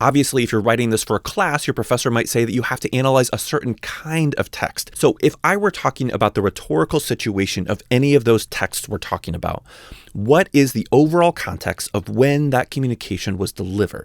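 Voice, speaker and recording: A man with a plain, everyday voice, medium pitch, lively intonation, a fairly quick pace and hardly any pauses. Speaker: college writing teacher. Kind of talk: educational voice-over lecture. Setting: home recording.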